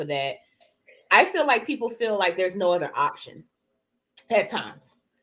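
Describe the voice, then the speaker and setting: Loud and bright, a woman's sharp-toned voice moves at a fairly quick pace. Her pitch swings very widely. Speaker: podcast co-host. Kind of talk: casual chat.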